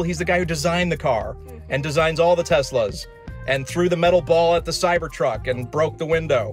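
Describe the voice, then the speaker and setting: Over faint background music, a man speaks at a moderate pace with a dry sound that has no echo. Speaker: channel host. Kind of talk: casual vlog chat. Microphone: phone near.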